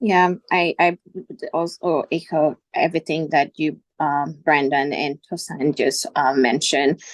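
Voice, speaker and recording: Speaking in a non-native accent, a woman with a very deep, low pitch talks fairly slowly with fairly even intonation, in a dry, close sound with no echo. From outside the US. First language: not English. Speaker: HR executive, MBA alumnus. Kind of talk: panel discussion. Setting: webinar. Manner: hesitant, many fillers.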